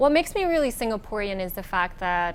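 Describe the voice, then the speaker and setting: Audible room echo around a female voice with ordinary pitch variation. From Singapore, early childhood in the Philippines. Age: 20s. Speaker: beauty pageant winner. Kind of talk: interview. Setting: hotel with a view.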